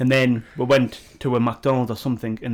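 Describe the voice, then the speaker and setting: A man speaks with a Geordie accent. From northern England, Newcastle. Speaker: podcast co-host. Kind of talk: casual chat. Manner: animated.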